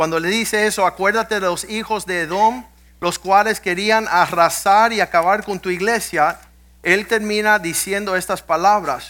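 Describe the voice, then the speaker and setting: A man speaks at a fairly slow pace and a high pitch in a raised, projected voice with a bright, sharp tone. His intonation is fairly even, and the recording is very clean with a silent background. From US, Cuban-American family. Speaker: pastor. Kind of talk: sermon. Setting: church.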